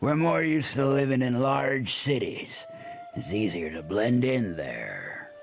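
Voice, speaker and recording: A man's raspy, put-on character voice at medium pitch, with very wide pitch swings and a fairly slow pace. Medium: video game. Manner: casual, cheeky.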